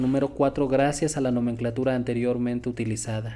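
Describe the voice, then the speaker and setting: In a flat monotone, a man with a dark, mellow tone and medium pitch speaks at a very fast pace. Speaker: logic teacher. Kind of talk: lecture.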